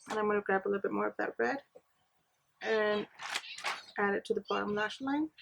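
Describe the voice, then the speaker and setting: A woman at a fairly quick pace, with music in the background and a dry, close sound with no echo. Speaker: beauty vlogger. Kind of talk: makeup tutorial. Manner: soft-spoken.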